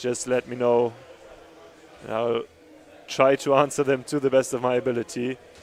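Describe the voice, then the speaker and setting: Long, frequent pauses break up a man's speech at a moderate pace. He has a German accent, a medium pitch, and monotone, flat intonation. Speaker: sports commentator. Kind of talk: live commentary.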